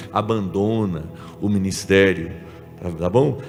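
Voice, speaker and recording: A man talks with audible room echo while music plays behind him. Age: 60s. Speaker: pastor. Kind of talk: sermon. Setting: church symposium with audience. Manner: conversational, frequent check-ins with audience.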